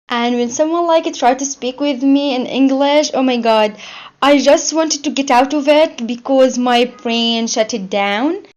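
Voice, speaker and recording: A woman with a non-native accent speaks at a fairly slow pace against a quiet background. Her pitch is high, with ordinary pitch variation. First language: not English. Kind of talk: interview answer.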